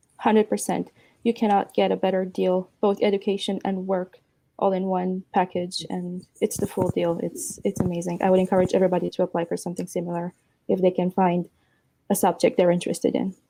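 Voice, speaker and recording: At a fairly quick pace, a woman with a Romanian accent speaks in a medium pitch, her tone dark and mellow and her intonation monotone and flat. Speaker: apprentice and university student. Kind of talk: award acceptance interview. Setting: video call.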